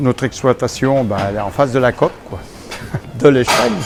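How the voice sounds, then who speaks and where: A man talks at a medium pitch with ordinary pitch variation over noticeable background noise. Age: 60s. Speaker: dairy farmer. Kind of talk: interview testimony.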